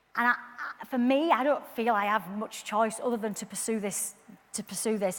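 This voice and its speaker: A woman with a Yorkshire accent speaks at a very fast pace. Her pitch is fairly high, with fairly even intonation. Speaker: community campaigner. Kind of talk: public talk. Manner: repetitive false starts.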